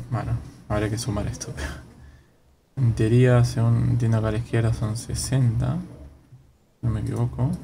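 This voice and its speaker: Long, frequent pauses mark the speech of a man with an Argentine accent. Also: moderate pace. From Argentina. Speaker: gaming streamer. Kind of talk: casual gameplay commentary. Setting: poor microphone audio.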